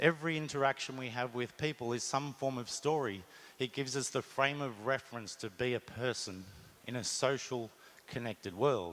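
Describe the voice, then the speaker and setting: An Australian accent comes from a man at medium pitch. He keeps a moderate pace with ordinary pitch variation. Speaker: marketing executive. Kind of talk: conference talk.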